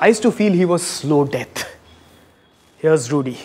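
The voice moves at a moderate pace with lively intonation over light background noise. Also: man. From India. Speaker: comedian and cricket show host; comedian, cricket show host. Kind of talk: comic monologue with impressions; casual chat. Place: stage. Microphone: handheld.

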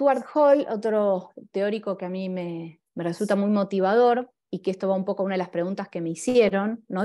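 In a Buenos Aires accent, a woman talks at a moderate pace with a dark, mellow tone. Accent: Buenos Aires Rioplatense Spanish. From Argentina. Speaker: graphic designer and illustrator. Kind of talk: talk with slides. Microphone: video call.

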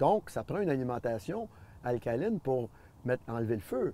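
A man speaks at a moderate pace in a dark, mellow tone with very wide pitch swings. The sound is dry with no echo. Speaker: former athlete and nutrition advocate. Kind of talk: interview answer. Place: garden. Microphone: lapel.

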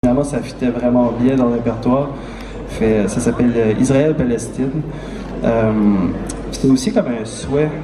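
A man with fairly even intonation over noticeable background noise. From New Brunswick, Acadia. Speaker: guitarist and composer. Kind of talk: song introduction on stage. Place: stage.

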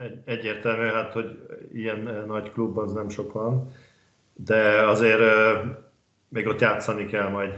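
Very slow, monotone, flat delivery from a man with a fairly low pitch and long, frequent pauses, with audible room echo against a quiet background. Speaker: handball pundit. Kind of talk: casual chat. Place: home room. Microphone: headset.

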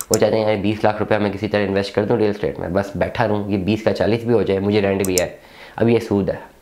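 Speaking at a very fast pace, a man uses a fairly low pitch and a dark, mellow tone with monotone, flat intonation. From Pakistan. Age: 30s. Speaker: real estate businessman. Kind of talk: monologue to camera. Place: office.

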